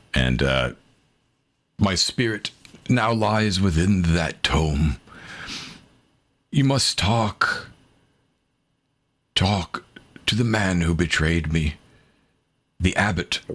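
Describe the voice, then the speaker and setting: A man's put-on character voice, very deep and low in pitch, at a very slow pace with long, frequent pauses. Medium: actual play. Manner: slow, halting, as if remembering.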